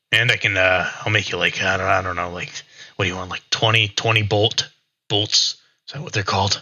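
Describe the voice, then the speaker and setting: A man's rumbling voice sits at a fairly low pitch, moving at a moderate pace with fairly even intonation. Long, frequent pauses and big swings in loudness break up his speech. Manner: grumbling, distracted.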